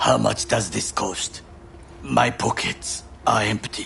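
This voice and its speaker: A man puts on a raspy character voice, speaking at a fairly slow pace over clear background noise. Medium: video game. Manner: formal, clipped.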